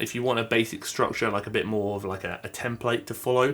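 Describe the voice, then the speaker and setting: With an English accent, a man rattles off his words at a very fast pace. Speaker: fitness YouTuber. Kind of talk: tutorial.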